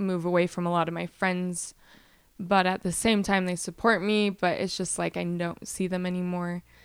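A woman speaks at a moderate pace and medium pitch. Her intonation stays fairly even. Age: 20s. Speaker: cancer survivor. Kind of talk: interview. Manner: halting.

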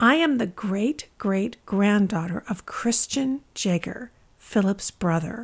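An unforced reading voice

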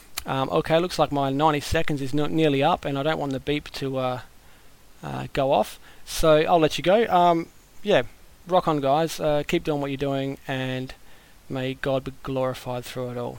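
This is a man speaking. His pitch is fairly high, with ordinary variation. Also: moderate pace. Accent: Australian. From Australia. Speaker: podcast listener. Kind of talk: voicemail message. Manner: casual, hesitant with fillers.

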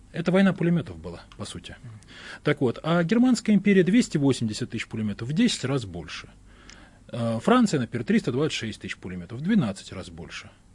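A man's somewhat breathy, fairly high voice, with very wide pitch swings and big swings in loudness. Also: moderate pace. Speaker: historian. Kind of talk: heated debate.

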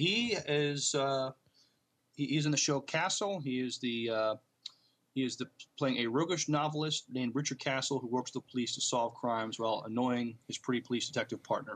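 A man's ordinary speaking voice, medium in pitch, at a fairly quick pace. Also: ordinary pitch variation. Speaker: podcast co-host. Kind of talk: casual podcast chat and news reading.

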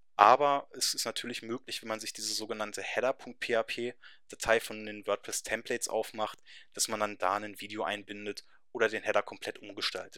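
The sound is close and dry, without any echo. A man speaks at a moderate speed. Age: 20s. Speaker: web developer. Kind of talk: webinar presentation. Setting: webinar.

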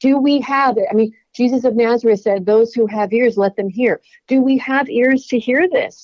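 A woman's high-pitched voice with hardly any pauses. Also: ordinary pitch variation, moderate pace. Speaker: religion professor and author. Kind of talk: interview.

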